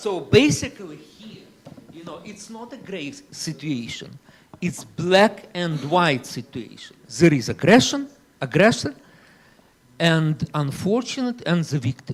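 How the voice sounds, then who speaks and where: Talking at a fairly slow pace, a man with a high voice swings widely in both pitch and loudness. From Ukraine, Kyiv. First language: Ukrainian or Russian. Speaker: panel speaker. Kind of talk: panel debate. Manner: animated.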